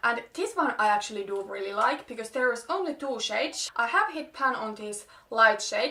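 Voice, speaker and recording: A woman talks at a moderate pace with a high pitch. Her intonation is lively, and her loudness swings widely. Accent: Finnish. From Finland. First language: Finnish. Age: 20s. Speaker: beauty vlogger. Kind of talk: casual talk to camera.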